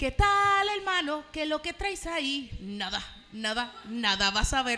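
A woman's raised, projected voice, high in pitch with very wide pitch swings, at a fairly slow pace amid noticeable background noise. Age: 20s. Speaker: comedian. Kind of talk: casual chat.

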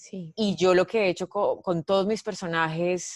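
Over a quiet background, with a dry, close sound and no echo, a woman speaks in an unremarkable speaking voice at a fairly slow pace, her pitch fairly low and her intonation fairly even. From Colombia, Medellín. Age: 30s. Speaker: comedian. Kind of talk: casual chat.

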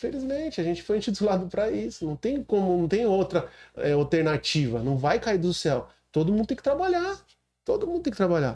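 A man with a dark, mellow tone and high pitch talks at a fairly quick pace, his voice making very wide pitch swings. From Brazil, São Paulo coast (Baixada Santista). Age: 40s. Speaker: city councillor. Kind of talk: podcast interview.

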